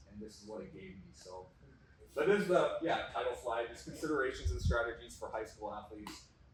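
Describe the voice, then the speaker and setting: With an American accent and a fairly quick pace, a man talks in big swings of loudness over noticeable background noise. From North Dakota. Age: 30s. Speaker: strength coach and kinesiology teacher. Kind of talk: presentation to audience. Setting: stage with audience. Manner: informal.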